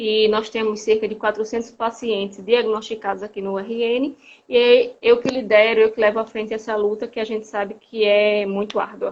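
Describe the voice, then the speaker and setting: Speaking at a moderate pace with hardly any pauses, a woman with a northeastern Brazilian accent holds a fairly high pitch in monotone, flat intonation. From Brazil, Rio Grande do Norte (Northeast). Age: 30s. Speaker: nutritionist and patient association president. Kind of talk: interview. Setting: video call.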